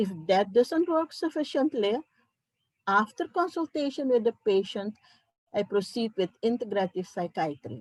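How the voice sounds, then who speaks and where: A somewhat breathy voice with very wide pitch swings and a non-native accent. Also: woman, fairly high pitch for a woman, moderate pace, dry, close sound with no echo. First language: not English. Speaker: psychiatrist. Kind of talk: conference talk.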